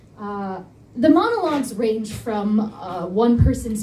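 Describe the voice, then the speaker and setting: Audible room echo surrounds the speaker. She is a woman with a fairly high pitch. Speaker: nonprofit organizer. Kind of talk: presentation talk. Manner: fast when nervous.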